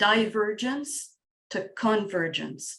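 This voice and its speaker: With a strong French accent, a woman speaks very slowly at medium pitch with ordinary pitch variation. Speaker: facilitator and coach. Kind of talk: casual group discussion. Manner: halting, repeats words.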